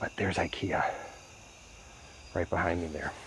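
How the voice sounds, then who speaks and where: Quietly, a man speaks at a fairly quick pace. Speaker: outdoor vlogger. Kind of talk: vlog narration. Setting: outdoors in woods at night. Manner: quiet, hushed.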